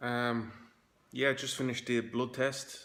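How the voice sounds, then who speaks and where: This man speaks with a Dublin accent in a bright, sharp tone. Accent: Irish (Dublin). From Dublin, Ireland. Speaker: hair transplant patient. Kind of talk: casual video diary to camera.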